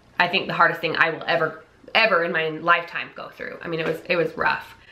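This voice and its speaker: Through noticeable background noise and audible room echo, a woman talks at a very fast pace. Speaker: vlogger. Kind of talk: casual chat. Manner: loud.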